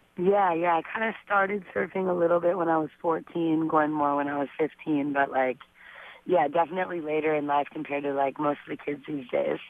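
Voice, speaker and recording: Over noticeable background noise, a woman speaks at a very deep, low pitch with ordinary pitch variation. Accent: Southern California. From US West Coast, San Fernando Valley, Los Angeles. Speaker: professional surfer. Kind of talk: radio interview. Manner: casual, filler-heavy.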